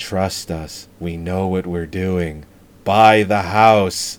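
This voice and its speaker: In a put-on character voice, a man speaks very slowly with very deep, low pitch. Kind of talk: flat, robotic cult-recruiter delivery. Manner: monotone, eerily persuasive.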